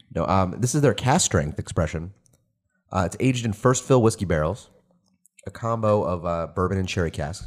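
In a very clean recording with a silent background, a man with a normal speaking voice talks at a fairly low pitch with lively intonation. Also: moderate pace. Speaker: podcast host. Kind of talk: casual chat.

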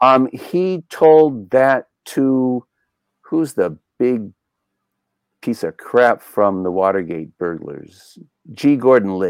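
A man with an American accent speaks at a medium pitch and a very slow pace, with long, frequent pauses. His pitch swings very widely, and the sound is dry and close with no echo. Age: 70s. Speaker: documentary filmmaker and JFK researcher. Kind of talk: casual interview.

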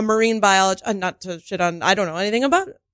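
An ordinary speaking voice from a woman with a fairly high pitch and an American accent, ordinary pitch variation, a dry, close sound with no echo, and a very clean recording with a silent background. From Michigan, US. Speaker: actor and improv comedian. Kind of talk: casual chat with improv scenes.

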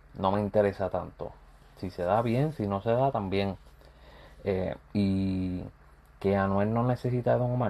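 A man speaks at a fairly low pitch with a Puerto Rican accent. His tone is dark and mellow, and his intonation stays fairly even. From Puerto Rico. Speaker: YouTuber and music commentator. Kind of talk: casual vlog commentary.

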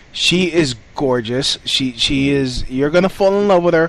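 There is noticeable background noise as a man talks at a fairly slow pace. His intonation is lively. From New York City, Puerto Rican family. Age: 30s. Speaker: podcast host and comedian. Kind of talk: casual interview. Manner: halting, repeats words.

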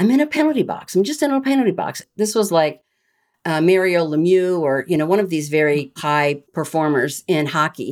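Speaking at a moderate pace with an American accent, a woman with a fairly low pitch uses lively intonation on a very clean recording against a silent background. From US Midwest (Iowa). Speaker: retired rear admiral and leadership trainer. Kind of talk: interview storytelling.

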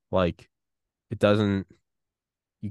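A man talks at a moderate pace. The sound is dry and close with no echo, and the background is quiet. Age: 30s. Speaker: podcast host. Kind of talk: casual interview conversation. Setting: remote video call. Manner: candid, self-deprecating.

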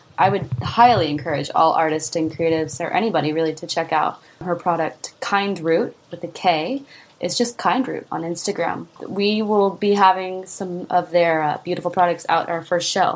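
A woman with an unremarkable speaking voice talks at a fairly low pitch. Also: ordinary pitch variation, moderate pace. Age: 20s. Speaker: singer-songwriter and entrepreneur. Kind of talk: interview.

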